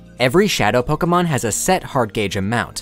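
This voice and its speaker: With music playing behind him, a man talks fairly quickly and with lively intonation. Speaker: gaming video essayist. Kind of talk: scripted narration.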